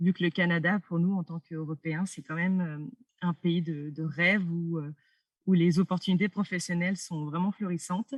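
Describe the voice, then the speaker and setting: Somewhat breathy speech at a moderate pace, with fairly even intonation and a dry, close sound with no echo. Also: woman, fairly low pitch for a woman. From France. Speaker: doctoral student. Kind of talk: interview.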